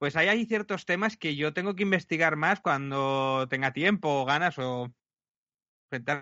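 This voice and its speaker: In an ordinary speaking voice, this man keeps a moderate pace, with a fairly high pitch and ordinary pitch variation. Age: 40s. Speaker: podcaster and youtuber. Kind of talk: interview.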